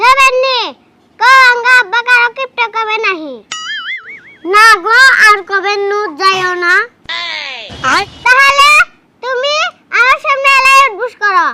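A woman in a put-on character voice speaks at a fairly slow pace with an extremely high pitch and ordinary pitch variation, while sound effects play in the background. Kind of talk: rustic comic acting. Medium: comedy sketch.

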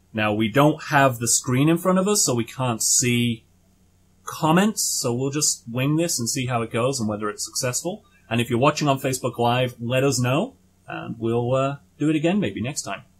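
A man speaks at a moderate pace, his voice somewhat breathy. His pitch varies in an ordinary way over a quiet background. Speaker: podcast host. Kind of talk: casual podcast intro. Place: home room. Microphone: studio mic.

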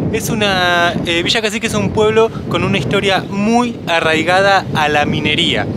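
Loud background noise surrounds a man's high voice at a moderate pace, the sound dry with no echo. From Argentina. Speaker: travel vlogger. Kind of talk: casual talk to camera. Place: open country. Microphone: phone near.

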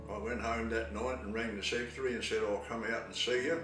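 Clear music plays in the background as a man speaks with audible room echo. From South Australia. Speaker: retired Baptist pastor. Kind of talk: interview answer. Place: home room. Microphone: camera far.

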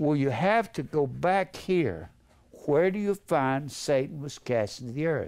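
Against a quiet background, a man with a fairly high pitch speaks with very wide pitch swings. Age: 80s+. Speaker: preacher. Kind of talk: sermon. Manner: rambling, conversational. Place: classroom. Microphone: headset.

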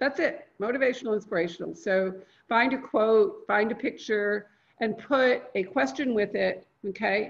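Lively intonation at a moderate pace, over a quiet background. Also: woman, fairly high pitch for a woman. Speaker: LinkedIn marketing consultant; guest. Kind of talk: live online training. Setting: video call. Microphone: video call.

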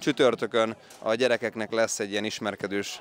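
Light background noise under a man's dry voice with no echo. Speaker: youth football coach. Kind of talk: interview. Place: stadium. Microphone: handheld.

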